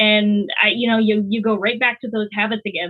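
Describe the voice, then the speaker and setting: This woman has an American accent. She talks at a fairly quick pace. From United States. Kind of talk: casual chat. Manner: fast.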